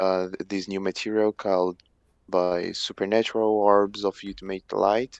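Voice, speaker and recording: Monotone, flat delivery at a fairly slow pace in a Portuguese accent, with a dry, close sound and no echo. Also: man. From Brazil. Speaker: stream guest, amateur writer. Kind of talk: casual chat. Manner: halting, many repetitions and false starts.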